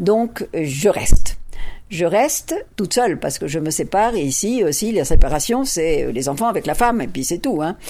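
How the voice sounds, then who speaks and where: Over noticeable background noise, a woman talks at a medium pitch with very wide pitch swings. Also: moderate pace. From France. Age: 70s. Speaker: feminist academic. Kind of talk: interview.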